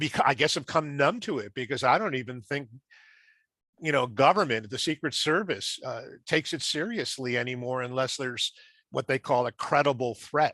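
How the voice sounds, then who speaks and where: A man talks at a fairly quick pace in a bright, sharp tone over a quiet background. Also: fairly high pitch for a man, ordinary pitch variation, dry, close sound with no echo. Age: 70s. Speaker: assassination research group member. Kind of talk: group discussion.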